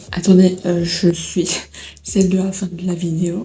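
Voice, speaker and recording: A soft-spoken woman at a fairly low pitch, monotone, flat intonation and a fairly slow pace, with audible room echo and noticeable background noise. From Belgium. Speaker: vlogger. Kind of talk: casual vlog chat. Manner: halting.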